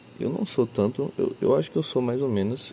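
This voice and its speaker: A man talks at a moderate pace, his intonation lively. Noticeable background noise is present. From Brazil, Acre (Rio Branco). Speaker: podcaster. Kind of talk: casual monologue. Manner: relaxed, laid-back.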